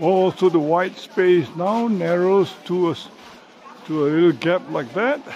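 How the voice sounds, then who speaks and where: Light background noise sits behind a man's voice. He talks at a fairly slow pace with lively intonation. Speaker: travel vlogger. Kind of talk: casual travel commentary. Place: open country. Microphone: phone near.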